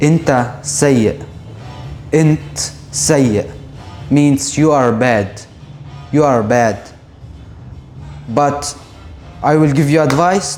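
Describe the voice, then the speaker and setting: Against music in the background, a man with a Syrian accent speaks at a very slow pace in a fairly high voice. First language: Arabic. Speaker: Arabic teacher. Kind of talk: language lesson to camera. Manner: casual, friendly.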